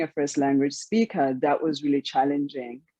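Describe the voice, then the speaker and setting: A woman's very deep, low voice with a dark, mellow tone, in a South African accent. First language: Xhosa. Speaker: author. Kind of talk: interview.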